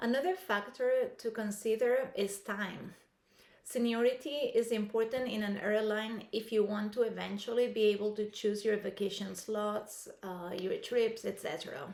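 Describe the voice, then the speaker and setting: A woman with a non-native accent and a fairly high pitch speaks at a moderate pace with ordinary pitch variation. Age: 50s. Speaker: aspiring airline pilot, vlogger. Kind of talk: scripted talk to camera. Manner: hesitant with fillers.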